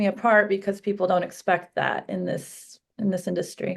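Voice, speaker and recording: Delivered at a fairly quick pace, the voice is monotone and flat, with vocal fry. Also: woman. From Russia. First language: Russian. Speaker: real estate broker. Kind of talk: interview.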